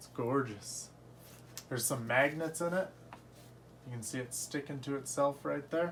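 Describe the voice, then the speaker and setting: The man's somewhat breathy voice sits at a medium pitch. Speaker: collectibles unboxing youtuber. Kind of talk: unboxing review.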